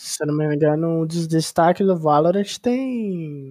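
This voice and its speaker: Pitch rises and falls by an ordinary amount. Dark and mellow, the tone stays low in color. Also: woman. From São Paulo state interior, Ribeirão Preto. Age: 20s. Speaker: esports analyst. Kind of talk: casual interview chat.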